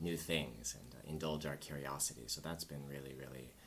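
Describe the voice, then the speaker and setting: An American-accented man speaks at a very deep, low pitch with vocal fry and fairly even intonation, his voice carrying audible room echo. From US, Southern California. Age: 40s. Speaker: English teacher and traveler. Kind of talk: podcast interview.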